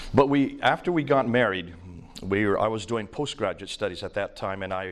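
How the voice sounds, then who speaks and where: A man with an American accent speaks at a moderate pace with lively intonation. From India, raised by American missionaries. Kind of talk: lecture.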